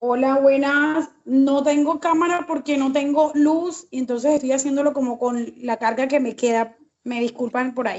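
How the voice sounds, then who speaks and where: Hardly pausing, a woman with a high pitch speaks at a moderate pace with fairly even intonation. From Colombian Caribbean coast, Santa Marta. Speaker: teacher, master's student. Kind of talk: online class discussion contribution. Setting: video call, camera off, power outage. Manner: hesitant, with many fillers.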